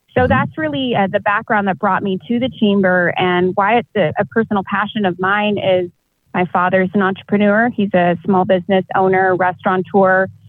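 A woman speaks in an unremarkable speaking voice with an American accent, at medium pitch and a moderate pace. Her intonation is fairly even, and her loudness very even. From Texas, South Austin. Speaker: chamber of commerce president, lawyer. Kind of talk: interview.

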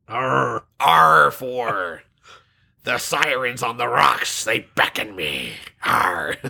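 A man puts on a raspy character voice at a medium pitch. He talks at a very slow pace. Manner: playful, exaggerated.

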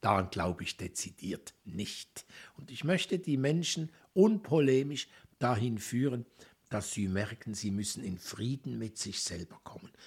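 A somewhat breathy voice with very wide pitch swings and big swings in loudness. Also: man, medium pitch for a man, fairly slow pace. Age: 60s. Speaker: anthroposophy lecturer and educator. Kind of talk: interview conversation. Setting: cultural centre, Basel.

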